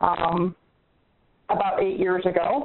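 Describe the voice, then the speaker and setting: Using a plain, everyday voice, a woman talks at a fairly slow pace in a medium pitch. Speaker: real estate investor. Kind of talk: call-in question. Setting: phone call.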